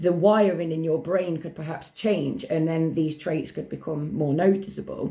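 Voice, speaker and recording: Vocal fry colors a dark, mellow tone, delivered at a moderate pace with ordinary pitch variation. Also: woman. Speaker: ADHD advocate, radio guest. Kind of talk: radio interview. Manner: loud.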